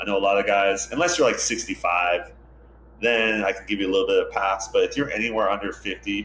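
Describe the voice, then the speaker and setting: Over noticeable background noise, a man rattles along at a very fast pace. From Hawaii (Hilo, Big Island). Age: 40s. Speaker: ocean lifeguard captain, former pro surfer. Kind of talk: interview conversation. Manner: casual, filler-heavy.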